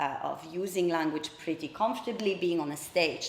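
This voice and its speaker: A fairly low-pitched woman with a Polish accent and ordinary pitch variation, with noticeable background noise and audible room echo. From Poland. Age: 30s. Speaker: public speaker. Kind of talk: personal talk. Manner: hesitant fillers.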